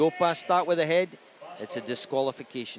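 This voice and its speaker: A man speaks with a Scottish accent and ordinary pitch variation. Noticeable background noise runs behind him. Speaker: swimming commentator. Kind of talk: live commentary.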